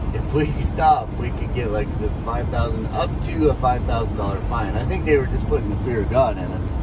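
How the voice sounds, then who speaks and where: There is loud background noise behind the speaker. A man talks at a moderate pace. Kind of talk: casual vlog chat. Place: car. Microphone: camera far.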